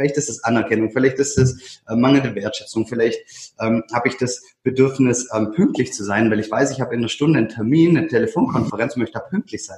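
Talking at a very fast pace with hardly any pauses, a man uses a somewhat breathy, medium-pitched voice with ordinary pitch variation. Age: 30s. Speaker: self-management consultant and coach. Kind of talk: casual conversation. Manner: halting, many fillers and repeated words.

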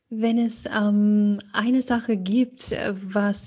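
In a German accent, a woman speaks at a medium pitch with a dark, mellow tone, a somewhat breathy quality and fairly even intonation over a quiet background. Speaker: coach. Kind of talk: casual podcast chat.

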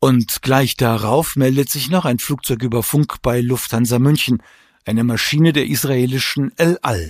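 A man with an unremarkable speaking voice talks at a moderate pace in a medium pitch with ordinary pitch variation, captured dry and close with no echo on a very clean recording with a silent background. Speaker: podcast host and author. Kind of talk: true-crime narration. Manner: measured, sober, factual; serious, documentary tone.

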